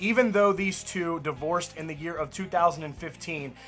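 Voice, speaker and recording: Faint music plays in the background as a man speaks at a high pitch. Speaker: country music news host. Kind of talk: news commentary vlog. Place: home room.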